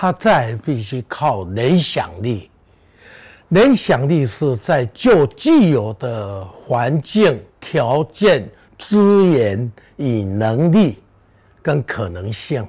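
A man speaks at a very slow pace in a somewhat breathy, medium-pitched voice with very wide pitch swings. The recording is very clean, the background silent. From Taiwan, Beigang (Yunlin). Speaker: artist and gardening speaker. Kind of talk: public talk. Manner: hesitant with many fillers.

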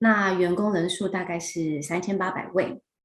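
A woman with a Taiwanese accent talks at a fairly slow pace and medium pitch, sounding somewhat breathy. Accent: Taiwanese Mandarin. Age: young. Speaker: HR director. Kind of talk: interview. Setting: video call.

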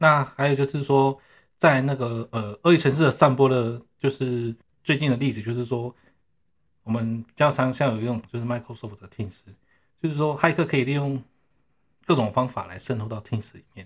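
At a moderate pace and with fairly even intonation, a man speaks with big swings in loudness and long, frequent pauses. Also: medium pitch for a man. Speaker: network engineer. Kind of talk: casual interview. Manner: halting, many fillers.

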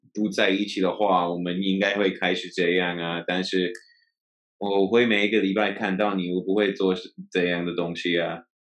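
Using a non-native accent, a man with a very deep, low pitch speaks at a moderate pace in a flat monotone. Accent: foreign accent in Mandarin. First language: English (speaking Chinese). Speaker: guest, host's partner. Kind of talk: casual chat.

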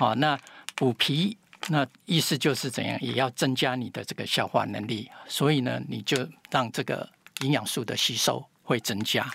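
At a fairly slow pace, a man with a medium pitch and a bright, sharp tone talks with ordinary pitch variation and vocal fry. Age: 70s. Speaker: health expert, pharmacy doctor. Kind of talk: interview.

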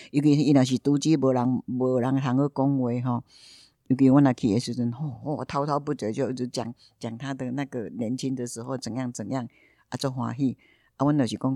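Over a quiet background, a woman with a very deep, low pitch and a dark, mellow tone speaks in a monotone, flat way at a fairly quick pace, the sound dry and close with no echo. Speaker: community volunteer and yoga teacher. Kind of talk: interview. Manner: halting, many fillers.

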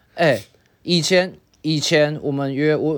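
A man with a Taiwanese accent, fairly high pitch and moderate pace, on a very clean recording with a silent background. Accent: Taiwanese Mandarin. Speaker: podcast co-host. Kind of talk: casual chat.

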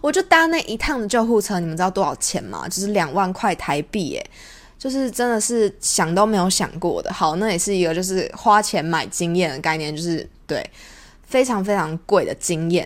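This woman has an unremarkable speaking voice at medium pitch. Her intonation is lively and her pace is moderate. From Taiwan. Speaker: podcast host. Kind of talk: casual monologue.

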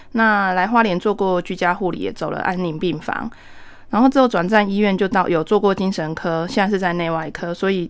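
A woman talks at a fairly quick pace with a Taiwanese accent. Her voice has a medium pitch and ordinary pitch variation. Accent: Taiwanese Mandarin. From Taiwan, Taitung. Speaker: nurse and volunteer firefighter paramedic. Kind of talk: radio interview.

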